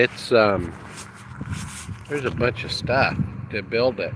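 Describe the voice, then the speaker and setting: Noticeable background noise surrounds a man speaking at a fairly slow pace. His medium pitch shows ordinary variation. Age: 60s. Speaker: internet marketer. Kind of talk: casual vlog walkthrough. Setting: outdoors at home. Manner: rambling conversational.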